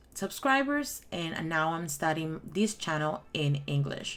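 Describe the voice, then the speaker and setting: A woman's very deep, low voice with a Spanish accent, very slow in pace yet lively in intonation. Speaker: crafting YouTuber. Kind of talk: tutorial; casual chat. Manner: halting.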